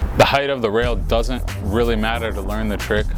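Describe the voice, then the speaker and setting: Music plays behind a man speaking at a fairly quick pace. His voice is very deep and low, with very wide pitch swings. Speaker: BMX rider giving a trick tutorial. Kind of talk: how-to tutorial talking to camera.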